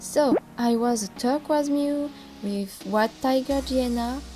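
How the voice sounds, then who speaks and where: The speaker talks at a very slow pace with a French accent. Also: woman. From France. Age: 20s. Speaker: fan content creator. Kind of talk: casual narration.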